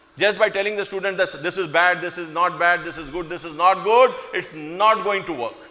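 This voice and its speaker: A man talks with big swings in loudness and ordinary pitch variation over noticeable background noise. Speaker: school administrator addressing staff. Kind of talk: speech to staff. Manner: slow, deliberate.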